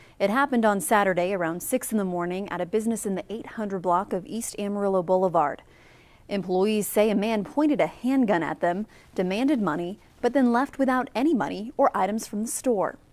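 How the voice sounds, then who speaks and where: A woman with a plain, everyday voice speaks at a fairly quick pace, her medium pitch carried by lively intonation. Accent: American. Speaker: evening news anchor and reporter. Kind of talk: TV news anchor delivery.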